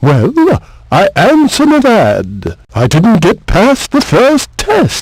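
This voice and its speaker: A man puts on a character voice, pitched high. He talks at a very slow pace. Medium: video game. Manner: repetitive, sardonic.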